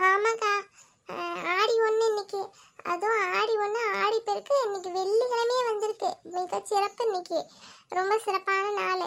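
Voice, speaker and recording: At a fairly slow pace, a cartoonish character voice moves with fairly even intonation. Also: woman, extremely high pitch for a woman. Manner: chatty, relaxed.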